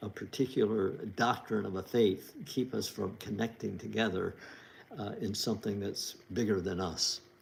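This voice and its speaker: Speaking at a moderate pace, a man uses a fairly low pitch marked by vocal fry. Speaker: author hosting a livestream. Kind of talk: casual livestream talk. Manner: halting, many fillers.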